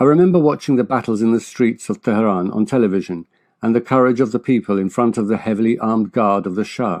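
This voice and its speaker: Against a quiet background, a man speaks at a very fast pace, with a medium pitch and ordinary pitch variation. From England. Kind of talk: personal testimony.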